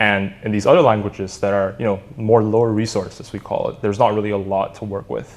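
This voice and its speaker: Fairly quick speech from a man with a fairly low pitch. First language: Indonesian. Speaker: startup co-founder. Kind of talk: podcast interview.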